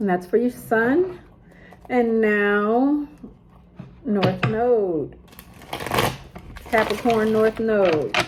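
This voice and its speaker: Her fairly high voice moves very slowly with lively intonation and long, frequent pauses, while noticeable background noise sits behind this woman. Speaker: tarot reader. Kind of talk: tarot reading. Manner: casual, chatty.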